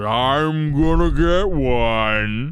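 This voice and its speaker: The man puts on a character voice, pitched at a medium level. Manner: menacing, sneaking.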